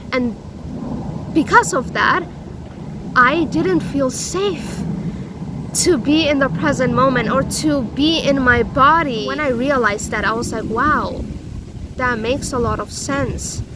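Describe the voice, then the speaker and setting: A loud woman speaks at a high pitch with lively intonation, at a fairly slow pace with long, frequent pauses. Room echo is audible, along with noticeable background noise. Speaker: self-help vlogger. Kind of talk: personal vlog monologue. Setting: outdoors. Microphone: no microphone.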